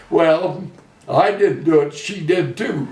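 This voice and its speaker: A man with an American accent speaks at a high pitch and a fairly slow pace, with ordinary pitch variation. Noticeable background noise and audible room echo fill the recording. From US Midwest, central Illinois. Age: 80s+. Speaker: retired farmer. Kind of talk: oral history interview. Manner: halting.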